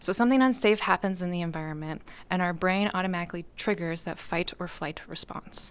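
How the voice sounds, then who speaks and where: A woman's unremarkable speaking voice, fairly low in pitch with ordinary pitch variation, at a fairly quick pace on a very clean recording with a silent background. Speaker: licensed professional counselor. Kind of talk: interview.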